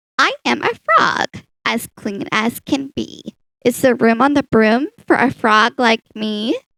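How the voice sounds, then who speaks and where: A woman's croaky, put-on character voice at a fairly slow pace. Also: fairly high pitch for a woman. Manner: polite, hopeful.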